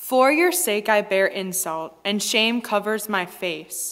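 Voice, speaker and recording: Over a quiet background, a woman talks at a fairly slow pace. Her pitch is fairly high and her intonation lively. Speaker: lector. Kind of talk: scripture reading aloud. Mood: solemn, measured. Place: church. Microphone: headset.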